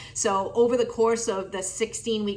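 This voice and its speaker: A woman speaks at a fairly quick pace in a medium pitch. Noticeable background noise runs underneath. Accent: American. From Massachusetts. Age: 50s. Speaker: amateur marathon runner. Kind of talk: testimonial.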